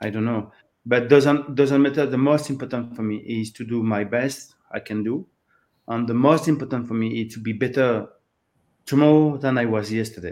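A man with a French accent at a moderate pace, with a medium pitch and fairly even intonation. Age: 50s. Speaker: open water swimming coach. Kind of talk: interview. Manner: halting.

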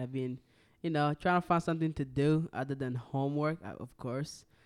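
A man speaks with fairly high pitch and fairly even intonation in an ordinary speaking voice. The recording is very clean, with a silent background. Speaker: college student guest. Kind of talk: casual chat. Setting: studio.

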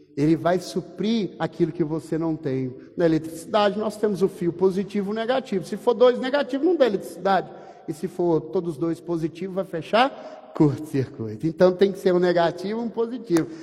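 A man with a high pitch and lively intonation at a fairly quick pace, against noticeable background noise. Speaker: pastor. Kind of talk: sermon.

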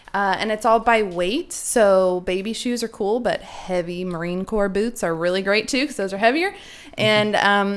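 With a normal speaking voice, a woman talks at a moderate pace and a medium pitch, showing ordinary pitch variation. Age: 30s. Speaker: charity board member. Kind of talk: interview.

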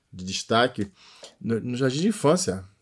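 On a very clean recording with a silent background, a man of medium pitch talks at a fairly quick pace. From Rio de Janeiro (Realengo). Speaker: singer-songwriter. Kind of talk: interview.

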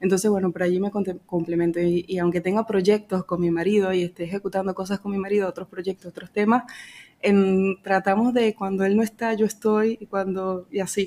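A woman's medium-pitched, dark, mellow voice in a Venezuelan accent, fairly quick and monotone with flat intonation. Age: 30s. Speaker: financial broker. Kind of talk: interview. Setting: office.

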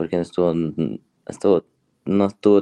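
With a very deep, low pitch, a man talks fairly slowly and with lively intonation in a dry, close sound with no echo. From Ecuador, Ambato. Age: 20s. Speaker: CrossFit athlete. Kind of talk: casual interview.

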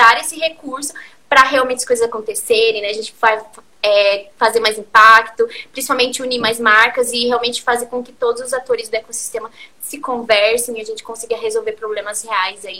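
A woman's high voice at a fairly quick pace, fairly even in intonation, with big swings in loudness and noticeable background noise. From Curitiba, southern Brazil. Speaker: community-building entrepreneur. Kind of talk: interview on a live stream.

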